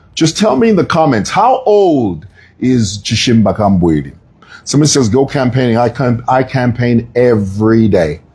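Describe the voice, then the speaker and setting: Speaking at a moderate pace and medium pitch, a man sounds animated and somewhat breathy, with lively intonation and very even loudness. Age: 50s. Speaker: political commentator. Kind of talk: live stream commentary.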